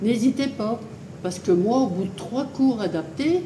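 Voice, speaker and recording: Over noticeable background noise and audible room echo, a woman speaks very slowly with lively intonation. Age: 80s+. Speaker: fitness club member. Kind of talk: testimony. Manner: hesitant, many fillers.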